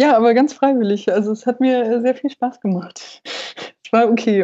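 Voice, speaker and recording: A woman with a plain, everyday voice. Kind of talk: casual podcast chat.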